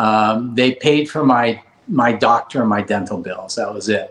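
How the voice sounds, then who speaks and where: A man with a Californian accent speaks at medium pitch. His pace is fairly slow and his intonation fairly even. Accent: Californian American. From Los Angeles, California (Granada Hills). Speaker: cosmetic dentist. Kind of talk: interview.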